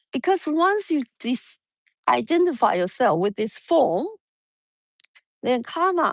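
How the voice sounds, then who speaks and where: Speaking at a very slow pace with a Mandarin accent, a woman uses a high voice with very wide pitch swings, the sound dry and close with no echo. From Taiwan. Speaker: yoga teacher. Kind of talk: spiritual talk. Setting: outdoors. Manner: halting.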